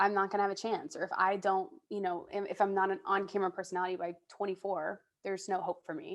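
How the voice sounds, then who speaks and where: Talking at a very fast pace with hardly any pauses, a woman keeps a monotone, flat intonation. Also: medium pitch for a woman. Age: 20s. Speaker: digital entertainment host. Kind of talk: casual interview.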